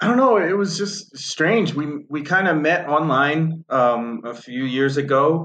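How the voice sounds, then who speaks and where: At a fairly slow pace with hardly any pauses, a man with an American accent speaks in an ordinary speaking voice, fairly high in pitch, with lively intonation. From north of Boston, Massachusetts. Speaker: horse racing handicapper and podcast host. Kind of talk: casual interview chat.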